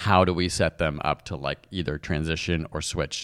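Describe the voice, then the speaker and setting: A man speaks at a very deep, low pitch with vocal fry. His intonation stays fairly even. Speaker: science podcast co-host. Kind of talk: casual chat. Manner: fast.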